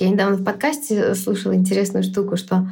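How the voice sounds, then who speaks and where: A woman's medium-pitched, dark, mellow voice with vocal fry, ordinary pitch variation and a moderate pace. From Belarus, Minsk. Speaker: product manager and startup founder. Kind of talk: podcast interview. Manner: hesitant, with filler sounds.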